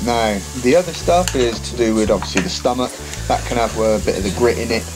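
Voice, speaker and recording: Background music is present. The talking proceeds at a moderate pace. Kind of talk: cooking tutorial narration.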